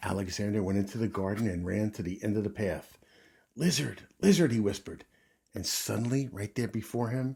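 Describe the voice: Plain reading aloud unfolds here with ordinary pitch variation.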